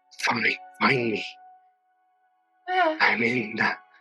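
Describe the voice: In a put-on character voice, a man speaks raspily at a medium pitch while faint music plays in the background.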